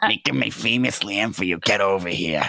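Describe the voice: A man's put-on character voice, raspy and fairly low in pitch, at a moderate pace.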